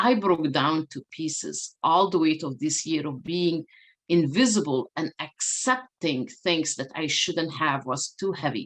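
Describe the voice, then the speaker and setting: A woman with a non-native accent and a fairly low pitch speaks at a moderate pace with lively intonation. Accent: foreign. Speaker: diversity and inclusion speaker. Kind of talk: keynote talk.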